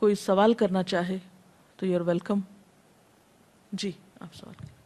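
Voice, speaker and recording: Her tone is dark and mellow, set at a medium pitch for a woman. She speaks with fairly even intonation. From Pakistan. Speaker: Islamic scholar and preacher. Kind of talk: religious lecture.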